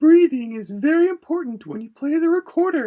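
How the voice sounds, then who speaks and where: This put-on character voice is squeaky and high-pitched. It moves at a fairly quick pace. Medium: read story. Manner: patient, gentle.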